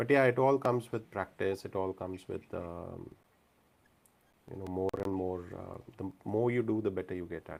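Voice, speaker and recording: A man with a fairly low pitch speaks at a moderate pace, using ordinary pitch variation and big swings in loudness. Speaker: event host and metacognition facilitator. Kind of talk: live event moderation. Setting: hybrid live event with video conferencing. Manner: calming.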